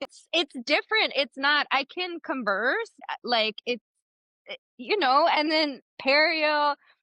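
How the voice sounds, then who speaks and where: A woman with a Spanish accent speaks very slowly in a high voice with lively intonation. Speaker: podcast host, periodontist. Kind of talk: casual chat.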